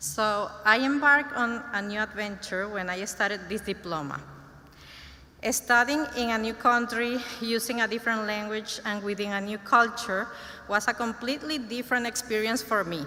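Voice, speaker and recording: Speaking at a moderate pace with a Spanish accent, a woman uses a fairly high pitch and ordinary pitch variation. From Venezuela. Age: 30s. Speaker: graduating student. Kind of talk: graduation speech. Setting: ceremony stage with audience. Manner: halting, self-correcting.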